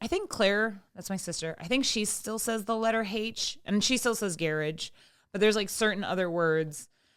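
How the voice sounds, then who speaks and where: A loud woman with lively intonation, in a very clean recording with a silent background. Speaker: podcast host; writer and poet. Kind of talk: casual chat.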